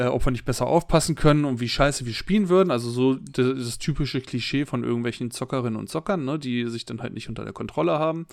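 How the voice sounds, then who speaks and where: A man's medium-pitched voice at a very fast pace, with ordinary pitch variation and hardly any pauses. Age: 30s. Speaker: podcast co-host. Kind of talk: casual chat.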